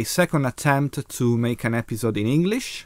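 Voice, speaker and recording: Lively intonation marks this man's speech in a very clean recording with a silent background. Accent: Italian. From Italy. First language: Italian. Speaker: video blogger. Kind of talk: casual monologue. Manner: slow; halting.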